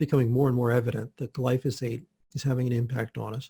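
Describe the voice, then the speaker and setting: A man's fairly quick speech at medium pitch, somewhat breathy with a dark, mellow tone, in a dry, close sound with no echo. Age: 60s. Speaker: health practitioner. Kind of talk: interview.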